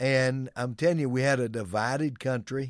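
Over a very clean recording with a silent background, a man speaks fairly slowly at a medium pitch in a plain, everyday voice. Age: 60s. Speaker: pastor. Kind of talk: sermon-style commentary.

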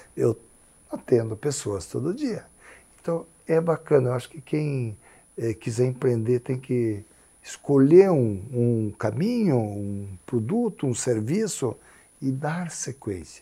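Somewhat breathy, a man speaks at a very slow pace and medium pitch with lively intonation, in a very clean recording with a silent background. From Paraná interior, Brazil. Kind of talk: interview conversation.

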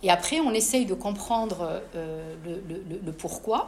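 A woman's medium-pitched voice with lively intonation, noticeable background noise behind it. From Morocco, Casablanca. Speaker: author. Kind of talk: interview at a live book talk.

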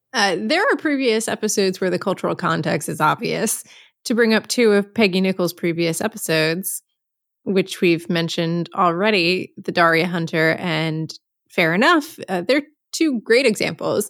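Using a normal speaking voice, a woman talks at a medium pitch and moderate pace with lively intonation. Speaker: podcast co-host. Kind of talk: casual podcast chat.

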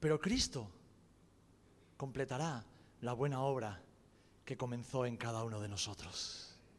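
Pausing long and often, a man talks at a fairly slow pace with ordinary pitch variation. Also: medium pitch for a man. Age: 40s. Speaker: pastor. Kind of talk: sermon.

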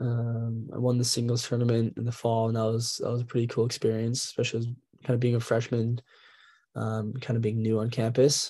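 Against a quiet background, a man with an American accent speaks at a fairly quick pace in a medium-pitched, somewhat breathy voice with a dark, mellow tone and monotone, flat intonation. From Minnesota. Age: young. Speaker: college athlete. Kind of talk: interview. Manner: halting.

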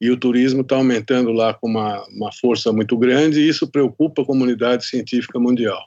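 A normal speaking voice with fairly even intonation over a quiet background. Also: man. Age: 60s. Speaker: podcast host, journalist. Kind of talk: interview.

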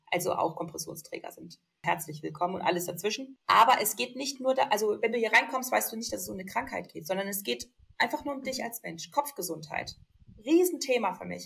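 A woman talks fairly quickly at a medium pitch, her loudness and pitch both swinging widely. Her tone is animated, with vocal fry. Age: young. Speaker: lipedema influencer and compression wear model. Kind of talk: casual chat.

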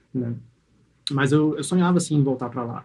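A man speaks at a fairly high pitch. His tone is dark and mellow, and somewhat breathy. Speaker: podcast host. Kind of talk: casual chat.

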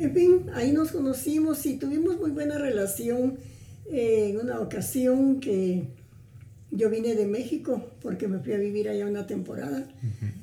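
A woman's fairly high, dark and mellow voice at a fairly slow pace, with very wide pitch swings and audible room echo. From Guatemala, Suchitepéquez. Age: 80s+. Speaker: grandmotherly family friend. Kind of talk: interview conversation.

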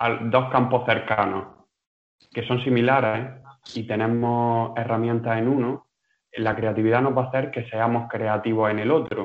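Speaking at a fairly slow pace, a man uses a normal speaking voice at medium pitch. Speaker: movement student. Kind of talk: casual discussion. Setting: video call.

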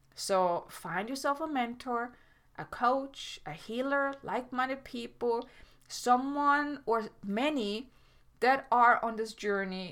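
A woman with a German accent speaks at a fairly slow pace with lively intonation. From Germany. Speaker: podcast host and life coach. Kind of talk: solo podcast monologue. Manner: halting, with frequent self-corrections.

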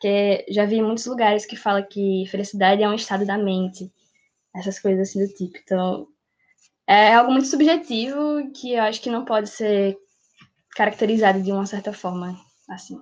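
A woman with a normal speaking voice keeps her pitch in the medium range, her pitch variation ordinary and her pace moderate. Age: 18. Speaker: pre-university student. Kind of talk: casual discussion podcast.

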